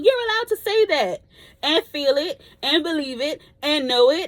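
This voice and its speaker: A woman speaks loudly in an animated tone, her pitch swinging very widely. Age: 30s. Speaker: vlogger. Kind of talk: casual chat.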